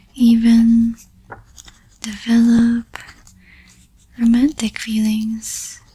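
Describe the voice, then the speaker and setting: Against noticeable background noise, a woman talks very slowly in a flat monotone, leaving long, frequent pauses. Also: fairly high pitch for a woman. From Philippines. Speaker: tarot reader. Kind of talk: ASMR astrology reading. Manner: whispered, soft-spoken.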